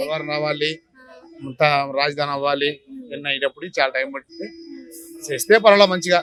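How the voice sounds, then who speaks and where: Big swings in loudness and ordinary pitch variation, with music in the background. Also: man, fairly high pitch for a man. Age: old. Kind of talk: street interview answer.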